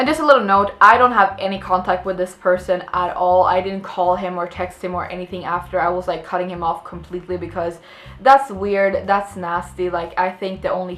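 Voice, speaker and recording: A woman with a slight Swedish accent speaks fairly quickly at a medium pitch with fairly even intonation and hardly any pauses, over noticeable background noise. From Sweden. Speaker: vlogger, actress. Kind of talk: casual storytelling vlog. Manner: many fillers and restarts.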